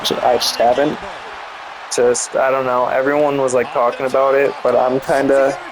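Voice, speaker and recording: The voice moves at a moderate pace with very even loudness and monotone, flat intonation. Noticeable background noise runs underneath. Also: man, medium pitch for a man. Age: 20s. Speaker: gaming youtuber. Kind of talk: casual chat. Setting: gameplay recording. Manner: halting.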